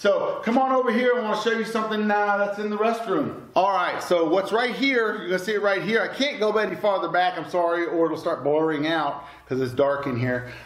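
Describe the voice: Ordinary pitch variation at a moderate pace, with audible room echo. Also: man.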